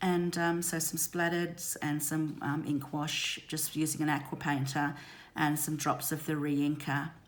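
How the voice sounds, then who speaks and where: A woman speaks with a very deep, low pitch at a fairly slow pace, her intonation monotone and flat, and there is audible room echo. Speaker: craft demonstrator. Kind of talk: tutorial. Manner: hesitant, many ums.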